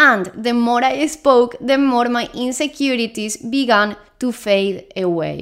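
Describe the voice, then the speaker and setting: Lively intonation and high pitch mark this woman's speech, which comes at a fairly slow pace in a Spanish accent. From Spain. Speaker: Spanish teacher. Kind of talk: language lesson monologue.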